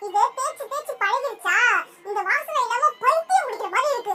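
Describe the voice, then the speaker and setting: This is a cartoonish character voice pitched extremely high. It sounds squeaky throughout. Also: moderate pace. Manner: sassy, quick retorts.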